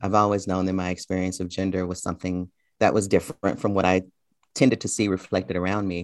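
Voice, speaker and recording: A man's very deep, low voice in an American accent, very fast and monotone with flat intonation, in a dry, close sound with no echo. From US South, Memphis, Tennessee. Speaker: college professor and poet. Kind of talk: interview. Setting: video call.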